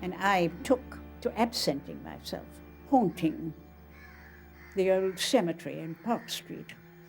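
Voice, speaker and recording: Long, frequent pauses and big swings in loudness mark the speech, with music in the background. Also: woman, fairly slow pace. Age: 80s+. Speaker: author. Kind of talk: documentary interview recollection.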